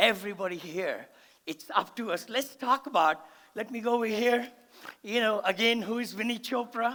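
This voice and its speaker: An animated man with an extremely high pitch, ordinary pitch variation, a raised, projected voice, a moderate pace and a bright, sharp tone. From India. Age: 70s. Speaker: real estate investor and motivational speaker. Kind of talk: seminar talk. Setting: stage with audience.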